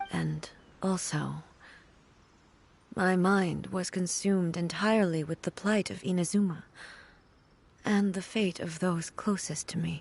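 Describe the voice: A woman puts on a character voice, fairly low with vocal fry, a slightly husky edge and a slightly mellow tone. She goes at a slow pace with long, frequent pauses. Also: fairly even intonation.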